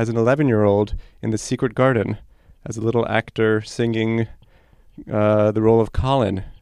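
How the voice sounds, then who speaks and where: With an American accent and fairly even intonation, a man speaks in an unremarkable speaking voice at a medium pitch. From New York City. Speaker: orchestra conductor. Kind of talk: interview.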